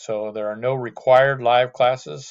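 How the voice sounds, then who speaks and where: A man's plain, everyday voice at medium pitch with ordinary pitch variation. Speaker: math instructor. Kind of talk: lecture. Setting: video call.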